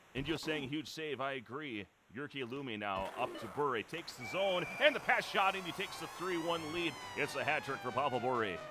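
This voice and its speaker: Speaking at a moderate pace, a man with a fairly high voice uses lively intonation amid noticeable background noise. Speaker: esports play-by-play commentator. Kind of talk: live commentary. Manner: loud.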